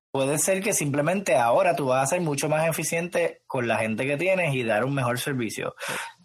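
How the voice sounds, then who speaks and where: With an unremarkable speaking voice, a man talks at a fairly high pitch and fairly quick pace, with ordinary pitch variation and hardly any pauses. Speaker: podcast host. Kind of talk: casual chat.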